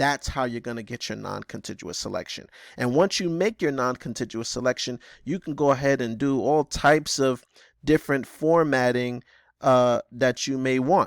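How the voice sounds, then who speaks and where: In a very clean recording with a silent background and a dry, close sound with no echo, a man with a plain, everyday voice speaks at a moderate pace, medium in pitch with ordinary pitch variation. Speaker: computer skills teacher. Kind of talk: tutorial.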